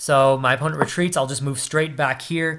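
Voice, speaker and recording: Fairly high in pitch with fairly even intonation, a man speaks in an unremarkable speaking voice. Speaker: chess streamer. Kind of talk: live game commentary.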